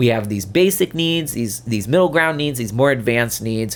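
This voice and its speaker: Animated in tone, a man talks with lively intonation. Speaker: podcast host, therapist and leadership coach. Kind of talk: solo podcast talk. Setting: video podcast. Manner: fast.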